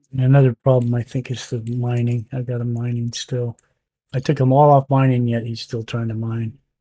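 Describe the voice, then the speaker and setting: At a moderate pace, a man with a medium pitch speaks in a monotone, flat, somewhat breathy voice with a dark, mellow tone and a dry, close sound with no echo. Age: 60s. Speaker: gaming streamer. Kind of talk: live gameplay commentary. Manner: casual, halting.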